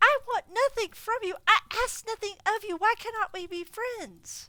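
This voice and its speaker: A woman's put-on character voice, squeaky and growling at an extremely high pitch, with ordinary pitch variation, a moderate pace and a dry, close sound with no echo. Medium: read story. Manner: curt, growling.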